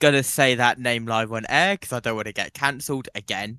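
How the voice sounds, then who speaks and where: A man with a British accent, medium in pitch with ordinary variation, bright and sharp in tone, in a very clean recording with a silent background and a dry, close sound with no echo. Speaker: sports watchalong co-host. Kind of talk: live sports watchalong chat.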